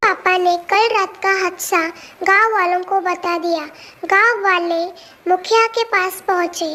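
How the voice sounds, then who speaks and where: In a cartoonish character voice, the speaker talks at a fairly slow pace with an extremely high pitch. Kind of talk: spooky folk tale narration.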